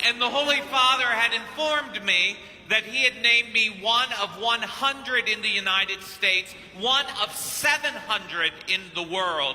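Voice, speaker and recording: A man's raised, projected voice, extremely high in pitch, with ordinary pitch variation at a moderate pace amid noticeable background noise. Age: 50s. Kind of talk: sermon. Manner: animated.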